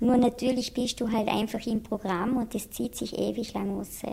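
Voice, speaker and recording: A woman with a fairly high voice speaks at a fairly slow pace with ordinary pitch variation, over noticeable background noise. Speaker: patient in addiction treatment. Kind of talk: interview testimony. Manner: hesitant, many filler sounds; plain colloquial speech.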